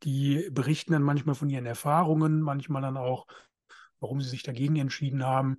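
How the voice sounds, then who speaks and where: In a normal speaking voice, a man talks at a fairly high pitch with fairly even intonation. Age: 30s. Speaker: podcast co-host, men's counselor. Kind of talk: casual chat.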